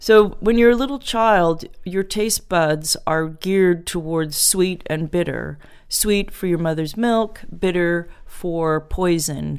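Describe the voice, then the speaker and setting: A woman with an American accent, fairly low in pitch, with ordinary pitch variation and a very slow pace. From US Pacific Northwest, Portland, Oregon. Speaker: chocolate taster and business founder. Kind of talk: podcast interview.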